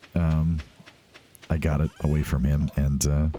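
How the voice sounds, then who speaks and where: Music plays behind a man speaking very slowly in a very deep, low pitch. His tone is relaxed and his intonation is monotone and flat. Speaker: let's play video game host. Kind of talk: casual gameplay commentary. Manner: relaxed, chill.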